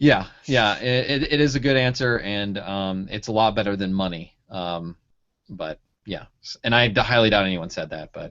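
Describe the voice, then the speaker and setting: With a Michigan accent, a man speaks at a moderate pace in a fairly low pitch with ordinary variation and big swings in loudness. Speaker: pharmacy school advisor, blogger. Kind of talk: casual interview.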